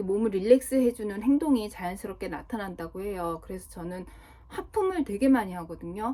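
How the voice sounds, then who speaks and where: A woman's dark, mellow tone comes at a moderate pace. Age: 40s. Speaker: vlogger. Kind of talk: casual monologue vlog.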